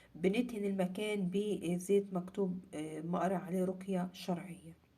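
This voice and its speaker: Somewhat breathy, with a dark, mellow tone, this voice with an Egyptian accent moves at a fairly slow pace with monotone, flat intonation. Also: woman, medium pitch for a woman. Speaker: religious content creator. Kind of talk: casual talk to camera.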